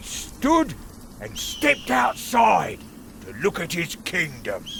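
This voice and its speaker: Put-on male character voice, fairly slow, over clear background noise. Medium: video game. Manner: sardonic, impatient.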